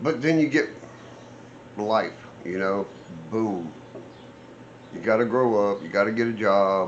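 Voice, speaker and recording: With long, frequent pauses, a man talks at a fairly slow pace and ordinary pitch variation amid audible room echo. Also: fairly low pitch for a man. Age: 60s. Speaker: off-road vehicle builder and vlogger. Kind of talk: casual vlog talk. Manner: rambling, conversational with fillers.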